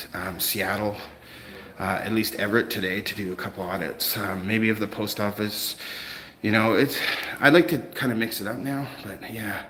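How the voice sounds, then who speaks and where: In a room with audible echo and noticeable background noise, a man with a slight Canadian accent talks at a moderate pace in a fairly low voice. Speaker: first amendment auditor livestreamer. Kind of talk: live stream chat with viewers. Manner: casual, hesitant with many fillers.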